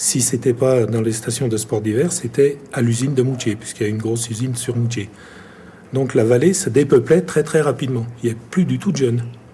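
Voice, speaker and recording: A man's ordinary speaking voice, medium in pitch, at a fairly quick pace with ordinary pitch variation. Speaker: local resident. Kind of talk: interview testimony.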